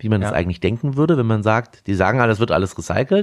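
This man's voice sits fairly low in pitch, with ordinary pitch variation. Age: 30s. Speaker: restaurateur. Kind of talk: interview. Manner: hesitant with fillers.

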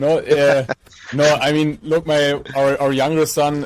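A man with a German accent and a fairly high pitch, at a fairly slow pace amid noticeable background noise. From Germany, Mainz. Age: 30s. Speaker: entrepreneur and sustainability activist. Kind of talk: interview.

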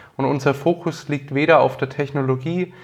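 The background is quiet. A man with a Franconian accent talks at a moderate pace. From Franconia, Nuremberg (Bavaria, Germany). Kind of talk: interview.

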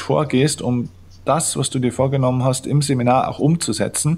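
A man at a medium pitch with a Bavarian accent. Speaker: mental coach and author. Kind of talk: interview. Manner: energetic.

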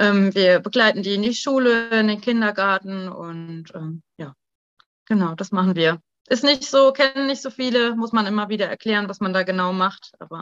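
A woman with an unremarkable speaking voice talks at a moderate pace and medium pitch. Her pitch varies ordinarily while her loudness swings widely. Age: 30s. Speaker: pediatric intensive care nurse. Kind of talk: interview.

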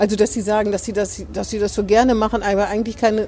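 A woman's very fast speech runs against noticeable background noise. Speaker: newspaper podcast host. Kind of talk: casual interview chat. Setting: outdoors in front of the door.

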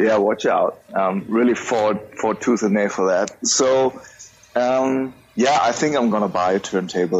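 Over noticeable background noise, a man speaks in a German accent. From Germany. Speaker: music podcaster. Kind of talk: casual chat.

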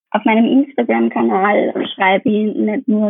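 At a moderate pace, a woman with an Austrian accent talks in a fairly high pitch. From Upper Austria. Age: 20s. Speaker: dietitian. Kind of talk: interview.

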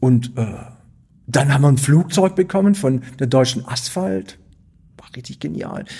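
A man with a dark, mellow tone and medium pitch speaks at a fairly slow pace, somewhat breathy, with lively intonation, big swings in loudness, and long, frequent pauses. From Stuttgart, Swabia. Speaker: artist and theatre director. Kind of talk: interview conversation.

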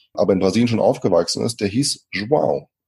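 Recorded dry and close with no echo, a man speaks in a calm tone that is dark and mellow. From Germany, moved from Brazil at age five. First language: Portuguese (speaking German). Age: 30s. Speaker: speaker and trainer. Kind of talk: interview.

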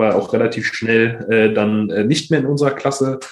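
A man speaks with a medium pitch, keeping a moderate pace. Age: 20s. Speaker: startup founder, resilience trainer. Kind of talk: podcast interview. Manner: halting, many fillers.

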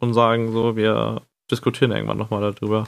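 A man's fairly quick, monotone delivery with flat intonation. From northern Germany. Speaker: podcast co-host. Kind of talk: casual chat.

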